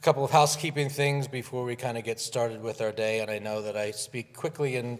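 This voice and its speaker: A man speaks at a fairly quick pace with ordinary pitch variation. His is an unremarkable speaking voice. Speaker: advertising club leader and commercial producer. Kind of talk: conference speech. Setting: conference with live and virtual audience.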